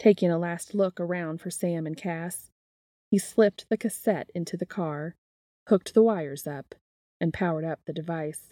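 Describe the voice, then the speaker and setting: Heard on a very clean recording with a silent background, a woman with an ordinary speaking voice speaks at a fairly low pitch with ordinary pitch variation and big swings in loudness. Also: moderate pace, dry, close sound with no echo. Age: 30s. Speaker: fan fiction podcast host and reader. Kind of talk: reading aloud fan fiction; casual chat.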